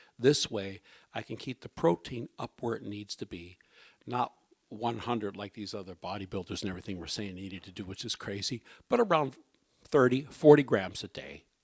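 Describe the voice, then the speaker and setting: In a normal speaking voice, a man talks at a fairly quick pace with fairly low pitch, ordinary pitch variation and big swings in loudness. The sound is dry and close with no echo, on a very clean recording with a silent background. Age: 60s. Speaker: health talk speaker. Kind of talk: personal health testimony talk. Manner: conversational, frequent okay.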